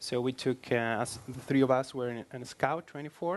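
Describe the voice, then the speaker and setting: Someone with a Spanish accent talks at a fairly quick pace against a quiet background. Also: man. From Spain. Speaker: iOS developer. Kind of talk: tech meetup presentation.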